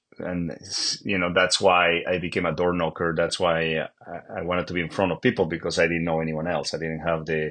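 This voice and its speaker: This man, with a Bolivian accent, speaks in a very deep, low voice at a fairly quick pace, with monotone, flat intonation and hardly any pauses. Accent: Bolivian Spanish accent, noticeable. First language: Spanish. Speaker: real estate agent. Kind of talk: interview. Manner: halting, many fillers and repeats.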